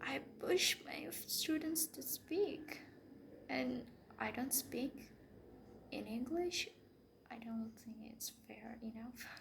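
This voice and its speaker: Over noticeable background noise, someone with a non-native accent speaks at a very slow pace with lively intonation, big swings in loudness, and long, frequent pauses. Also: woman, high pitch for a woman. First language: not English. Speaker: English teacher. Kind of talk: casual vlog monologue. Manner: halting, many fillers and restarts.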